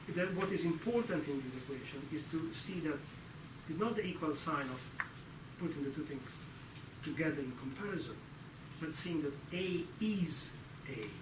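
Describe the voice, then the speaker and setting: There is audible room echo and noticeable background noise behind a man with a fairly high voice. He talks at a moderate pace with ordinary pitch variation and long, frequent pauses. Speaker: lecturer. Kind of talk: lecture.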